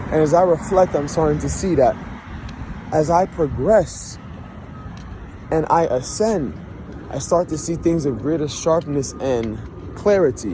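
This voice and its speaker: A man with a fairly high pitch speaks at a fairly slow pace with ordinary pitch variation, long, frequent pauses and noticeable background noise. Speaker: vlogger. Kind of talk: personal vlog monologue. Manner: reflective.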